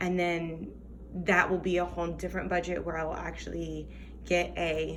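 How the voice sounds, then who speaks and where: A woman at a moderate pace, with noticeable background noise and audible room echo. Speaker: teacher and budgeting vlogger. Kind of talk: casual tutorial vlog. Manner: hesitant, many fillers; whispering.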